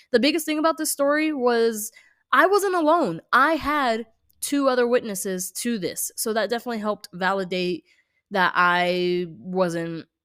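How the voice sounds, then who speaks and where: Recorded very cleanly against a silent background, a woman has a normal speaking voice. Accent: American. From California. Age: 20s. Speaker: nail artist and horror storyteller. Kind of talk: casual storytelling vlog. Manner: casual, many fillers and restarts.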